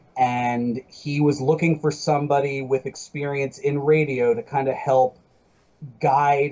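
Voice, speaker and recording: In a normal speaking voice, a man talks at a moderate pace with medium pitch and fairly even intonation. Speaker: wrestling announcer and former radio host. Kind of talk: casual podcast interview.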